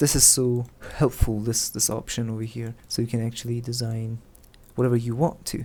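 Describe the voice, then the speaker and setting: At a fairly quick pace, a man with a non-native accent speaks at a medium pitch in a somewhat breathy, monotone voice with flat intonation. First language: not English. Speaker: game developer tutorial creator. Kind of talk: tutorial. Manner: halting, many fillers and repeats; casual.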